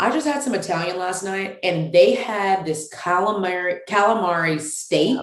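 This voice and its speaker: A woman's medium-pitched voice, animated in tone and lively in intonation, with hardly any pauses. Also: moderate pace. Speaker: women's ministry founder. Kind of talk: casual chat.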